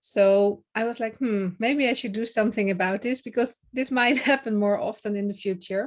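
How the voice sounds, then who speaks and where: With a Dutch accent, a woman speaks at a moderate pace and fairly high pitch, her intonation fairly even and with hardly any pauses. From Netherlands. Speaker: public speaking coach. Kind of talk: podcast interview.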